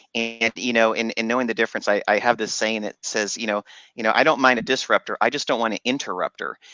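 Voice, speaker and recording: Over music in the background, a man with an American accent speaks very fast in a monotone, flat delivery, the sound dry and close with no echo. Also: medium pitch for a man. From Texas. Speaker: radio host. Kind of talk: radio interview. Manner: halting, many fillers.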